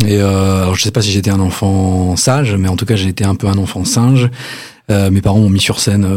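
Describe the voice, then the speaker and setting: At a moderate pace, a man with an unremarkable speaking voice talks at a fairly low pitch with fairly even intonation. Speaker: singer-songwriter guest. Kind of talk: casual interview chat. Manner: jokey, chatty, laughing.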